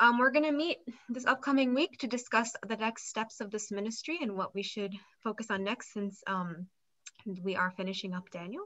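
A woman's bright, sharp, fairly high-pitched voice against a quiet background. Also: lively intonation, moderate pace. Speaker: discussion moderator. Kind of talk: prayer and moderation. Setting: video call. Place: home room. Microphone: video call.

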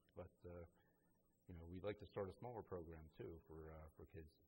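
A very deep, low male voice, dark and mellow in tone and somewhat breathy, at a fairly quick pace with fairly even intonation. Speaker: recreation center director. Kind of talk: interview. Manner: halting.

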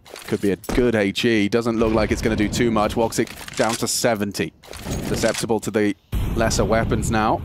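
A man speaks at a medium pitch in a monotone, flat delivery. His loudness stays very even while music plays in the background. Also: moderate pace. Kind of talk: esports commentary.

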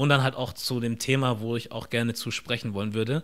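Against a quiet background, a man talks at a very fast pace with fairly even intonation. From Germany, near Stuttgart (Ostfildern); Germany. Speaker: content creator and podcast host; content creator, podcast host. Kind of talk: casual interview. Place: home room. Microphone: studio mic.

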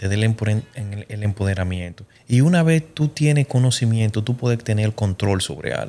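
A man's dark, mellow tone at a fairly low pitch, moderate pace and ordinary pitch variation. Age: 30s. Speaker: life advice guest; guest. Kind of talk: casual chat. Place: studio. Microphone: studio mic.

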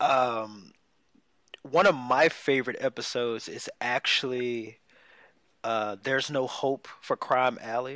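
Over a quiet background, a man at a medium pitch speaks very slowly with long, frequent pauses, fairly even intonation, a bright, sharp tone, and a dry sound with no echo. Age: 20s. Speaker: podcast co-host. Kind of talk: casual chat. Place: home room.

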